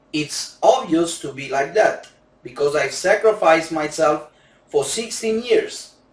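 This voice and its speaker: Over noticeable background noise, a man with a Romanian accent talks at a fairly slow pace in a high pitch, his intonation lively. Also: big swings in loudness. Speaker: gambling coach. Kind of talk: sales pitch. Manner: non-native halting English.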